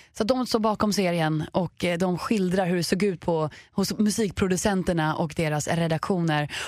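A woman speaks at a moderate pace with an animated tone, her pitch fairly low and its variation ordinary. Her loudness stays very even, and the recording is very clean with a silent background. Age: 20s. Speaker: podcast co-host. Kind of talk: casual chat.

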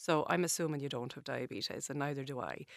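In an Irish accent, a woman with a very deep, low pitch speaks with ordinary pitch variation on a very clean recording with a silent background and a dry, close sound with no echo. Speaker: dietitian. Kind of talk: interview. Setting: studio.

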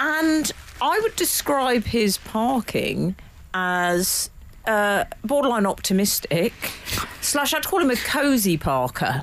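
A woman with a fairly high pitch speaks at a very slow pace, her pitch swinging very widely. Her loudness stays very even, and noticeable background noise is present. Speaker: radio co-host. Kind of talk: casual chat.

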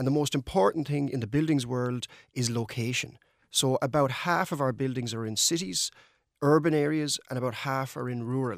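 In a very clean recording with a silent background, a man with a western Irish accent speaks at a moderate pace, with a medium pitch and ordinary pitch variation. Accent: Irish (west of Ireland). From Ireland, County Mayo. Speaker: energy sector engineer. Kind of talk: radio interview.

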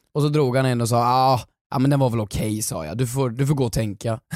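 Heard in a dry, close sound with no echo, a man talks very fast with ordinary pitch variation. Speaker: podcast co-host and comedic actor. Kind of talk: casual chat. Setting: studio.

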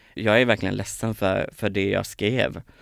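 On a very clean recording with a silent background, a man with a medium-pitched voice speaks at a fairly slow pace. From Småland, Sweden (near Kalmar). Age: 20s. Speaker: TV personality and song contest participant. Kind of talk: casual interview. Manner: energetic.

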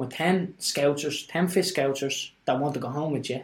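Delivered at a moderate pace in a Dublin accent, the speech shows ordinary pitch variation. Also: man. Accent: Dublin Irish. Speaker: guest sharing life story. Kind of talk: casual chat.

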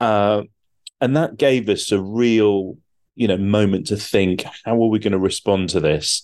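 A man speaks with a British accent at a fairly low pitch. His pitch varies in an ordinary way, and his loudness stays very even. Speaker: TV producer. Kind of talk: interview.

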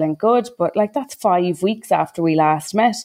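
This woman speaks with an Irish accent in a fairly low voice. Her pace is moderate. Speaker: maternity care advocate. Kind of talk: casual discussion.

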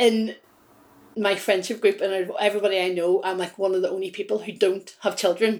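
Monotone, flat intonation at a fairly quick pace, in a Northern Irish accent. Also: woman, medium pitch for a woman. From Belfast. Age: 30s. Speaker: hypnotherapist. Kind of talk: interview.

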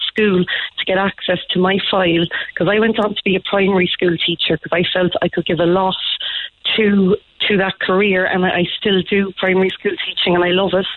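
Speaking with an Irish accent, a woman keeps a medium pitch and a moderate pace, her intonation monotone and flat. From Ireland, small town. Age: 30s. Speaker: teacher. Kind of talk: phone-in testimony. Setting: phone call.

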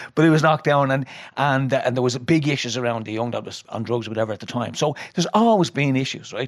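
A man speaks with a Dublin accent. He talks very fast. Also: medium pitch for a man, ordinary pitch variation. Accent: Dublin Irish. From Dublin, Ireland. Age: 50s. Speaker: retired prison governor. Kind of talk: casual chat. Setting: studio.

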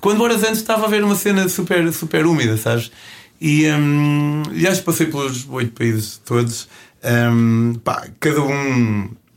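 With a European Portuguese accent, a man speaks at a moderate pace in a fairly high voice, using very wide pitch swings and very even loudness. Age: 30s. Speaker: travel show host and hitchhiking traveler. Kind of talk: interview. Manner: hesitant with repetitions.

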